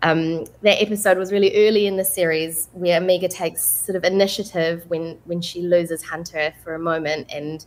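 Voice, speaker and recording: With a New Zealand accent, a woman speaks in a fairly low pitch and fairly even intonation. She keeps a moderate pace with hardly any pauses. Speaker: voice actress. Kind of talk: panel interview. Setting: video call.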